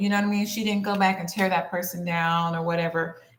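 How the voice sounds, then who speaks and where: A woman speaks at a medium pitch with fairly even intonation. Audible room echo surrounds her voice. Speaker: social media creator. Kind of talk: casual chat. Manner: many fillers and hesitations.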